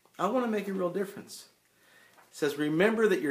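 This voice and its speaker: Amid audible room echo, a man talks at a very fast pace with lively intonation. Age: 60s. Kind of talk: live stream talk explaining a reporting form. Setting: Facebook live stream. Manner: conversational, repeats words when thinking.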